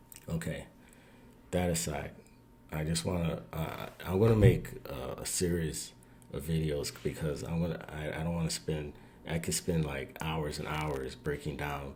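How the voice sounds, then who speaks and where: A man's very deep, low voice with vocal fry at a fairly slow pace, amid audible room echo. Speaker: video commentator. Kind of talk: casual commentary.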